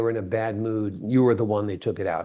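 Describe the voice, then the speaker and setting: Very fast man with an American accent, medium pitch, dark, mellow tone. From New York. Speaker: interview show host. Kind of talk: interview.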